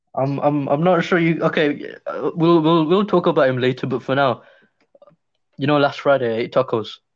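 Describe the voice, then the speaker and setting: A man with an ordinary speaking voice, fairly high pitch, ordinary pitch variation and a moderate pace, over a quiet background. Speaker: podcast co-host. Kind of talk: casual banter.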